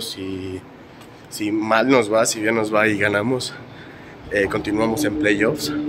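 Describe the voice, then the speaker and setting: Against noticeable background noise, a man with a fairly low pitch speaks at a fairly slow pace with fairly even intonation. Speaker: vlogger. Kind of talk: casual vlog narration.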